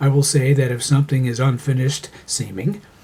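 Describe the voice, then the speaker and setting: Noticeable background noise accompanies a man talking at a fairly quick pace with fairly even intonation. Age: 60s. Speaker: amateur writer. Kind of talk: reading aloud.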